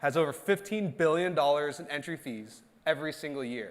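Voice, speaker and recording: A man with a plain, everyday voice speaks at a moderate pace in a fairly high pitch, his intonation lively. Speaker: startup founder. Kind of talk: pitch presentation.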